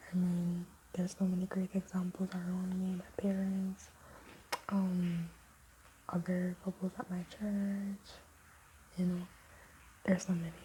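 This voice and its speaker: A whispering woman, with long, frequent pauses. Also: fairly slow pace. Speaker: vlogger. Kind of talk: casual chat.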